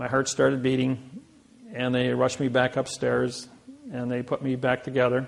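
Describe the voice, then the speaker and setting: In a Midwestern American accent, a man of medium pitch talks at a moderate pace with monotone, flat intonation over noticeable background noise. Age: 60s. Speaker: seminar speaker. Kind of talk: seminar talk.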